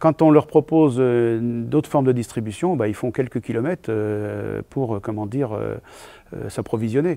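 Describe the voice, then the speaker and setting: A man speaks at a moderate pace with a medium pitch, ordinary pitch variation and a dark, mellow tone. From Vendée, western France. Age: 60s. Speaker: comedian. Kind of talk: interview. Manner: halting, many hesitations.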